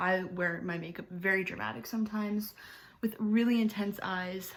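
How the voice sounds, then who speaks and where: A woman with an unremarkable speaking voice talks at a fairly quick pace and a medium pitch, keeping her intonation fairly even. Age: 20s. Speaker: beauty vlogger. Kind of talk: tutorial. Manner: casual, filler-heavy.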